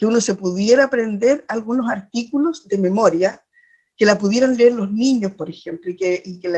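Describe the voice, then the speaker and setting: With a fairly high pitch, a woman speaks at a moderate pace. Her tone is dark and mellow and somewhat breathy. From Chile, Chiloé (Ancud). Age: 60s. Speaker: poet and teacher, constitutional candidate. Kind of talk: interview. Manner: halting, many fillers and repetitions.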